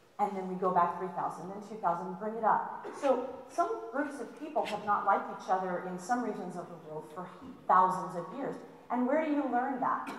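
Intonation is lively and the pace moderate. Room echo is audible, along with light background noise. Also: woman. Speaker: college history instructor. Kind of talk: lecture. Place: hall.

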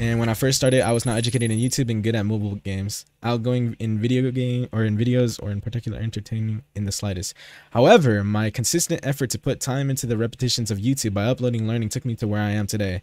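A man speaks very fast at medium pitch, with an American accent and a dark, mellow tone. The sound is dry and close with no echo, over a quiet background. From United States. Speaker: gaming streamer. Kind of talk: live stream chat. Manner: animated.

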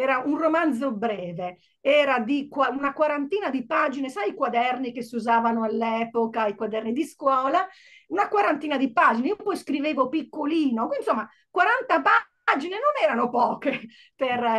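Lively intonation stands out against a quiet background. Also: woman, high pitch for a woman, moderate pace. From Italy. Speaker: novelist; interviewee. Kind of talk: book presentation interview. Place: home room. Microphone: earbuds.

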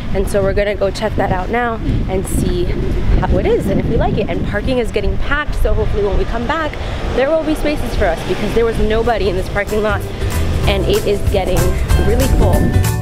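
Very fast speech over background music. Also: woman. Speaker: travel vlogger. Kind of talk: casual vlog chat. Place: street. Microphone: phone near.

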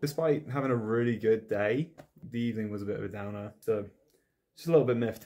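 The tone is dark and mellow, with ordinary pitch variation. The pace is fairly quick. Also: man, fairly low pitch for a man.

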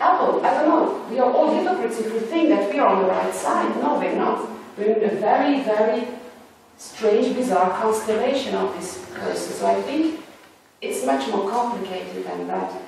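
A woman speaks at a moderate pace amid strong room echo and light background noise. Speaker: academic or artist on panel. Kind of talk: academic round-table discussion. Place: hall.

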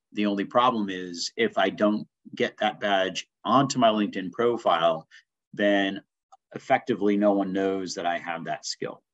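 A man's fairly low voice, an ordinary speaking voice with ordinary pitch variation, at a moderate pace against a quiet background. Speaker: instructor. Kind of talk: tutorial. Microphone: webcam.

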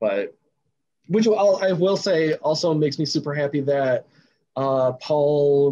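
A man speaks at a fairly slow pace. His pitch sits fairly high, with ordinary variation. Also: slightly mellow tone.

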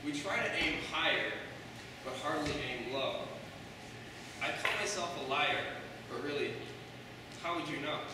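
A man talks with ordinary pitch variation. There is strong room echo and noticeable background noise. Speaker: open mic poet. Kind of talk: poetry reading with casual intro. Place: hall.

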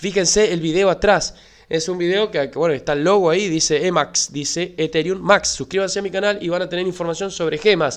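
The man's pitch is high. He keeps a moderate pace and fairly even intonation. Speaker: crypto YouTuber. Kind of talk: tutorial. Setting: screen-share video recording.

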